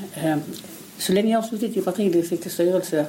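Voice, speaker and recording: Noticeable background noise sits behind a woman speaking. She keeps a moderate pace and fairly even intonation. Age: 60s. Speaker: local opposition politician. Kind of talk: interview.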